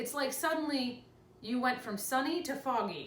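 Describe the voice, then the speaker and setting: A woman's animated tone amid noticeable background noise and audible room echo. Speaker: lifestyle vlogger with chronic illness. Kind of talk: casual vlog talk to camera.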